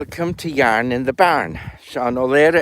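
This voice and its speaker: The speaker is a man with an Irish accent. His voice falls at a mid-level pitch. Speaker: storyteller and goat farmer. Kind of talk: casual chat.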